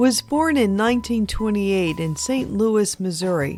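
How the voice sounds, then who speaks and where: Music plays in the background while a woman talks. Her pitch is medium and her intonation lively. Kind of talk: documentary narration.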